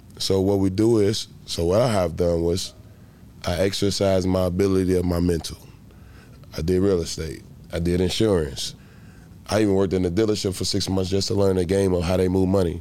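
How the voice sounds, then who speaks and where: Amid audible room echo, a man with a very deep, low pitch talks at a fairly quick pace, his intonation fairly even and his loudness very even. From Chicago, Illinois. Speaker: former pro football player. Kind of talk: casual interview. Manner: intense, passionate.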